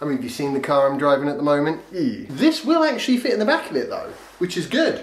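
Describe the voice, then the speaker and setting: A man talks at a fairly quick pace, and audible room echo surrounds his voice. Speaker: vlogger reviewing a skateboard. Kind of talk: casual vlog chat. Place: home room. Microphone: camera far.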